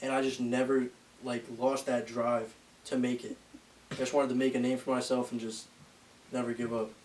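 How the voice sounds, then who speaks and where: A man at a fairly quick pace, with monotone, flat intonation and long, frequent pauses. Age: 20s. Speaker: bodybuilding content creator. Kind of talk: casual podcast interview.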